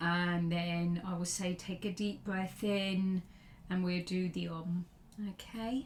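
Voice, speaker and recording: A woman with a fairly low voice speaks very slowly in a calm, monotone, flat delivery. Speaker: yoga teacher. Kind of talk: guided practice. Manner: slow, calm.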